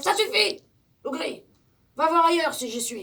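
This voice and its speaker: A woman's put-on character voice, extremely high and stern, with very wide pitch swings at a moderate pace. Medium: read story. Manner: stern, commanding.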